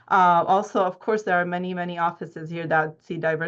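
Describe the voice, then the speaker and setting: With a Czech accent, a woman speaks in a monotone, flat intonation against a quiet background. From Czech Republic. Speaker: dental hygiene educator and researcher. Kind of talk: research presentation. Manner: halting, with fillers.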